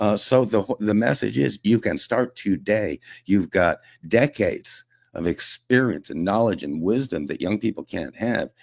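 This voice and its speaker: A man with a fairly low voice and vocal fry speaks at a moderate pace with lively intonation, in a dry, close, very clean recording with no echo and a silent background. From Quebec, Montreal area. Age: 60s. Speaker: media personality and veterans advocate. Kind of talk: casual radio chat. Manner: animated.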